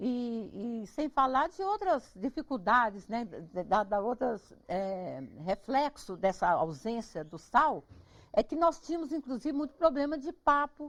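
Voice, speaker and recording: A woman speaks at a fairly slow pace in a high pitch, with very wide pitch swings. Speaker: cook and regional cuisine researcher. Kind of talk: interview, explaining food history. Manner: animated, conversational.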